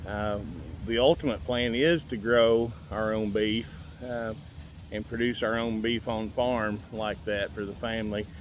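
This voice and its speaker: In a relaxed tone, a man speaks at a fairly slow pace and medium pitch with ordinary pitch variation. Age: 60s. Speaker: farmer. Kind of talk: casual vlog talk. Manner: relaxed, hesitant with fillers.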